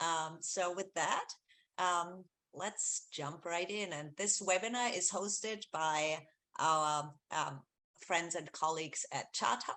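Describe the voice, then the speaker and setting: In an Austrian accent, a woman speaks at a very slow pace with a fairly low pitch, a bright, sharp tone and ordinary pitch variation. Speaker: research executive, webinar host. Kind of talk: webinar presentation. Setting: video call webinar. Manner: many fillers, hesitant.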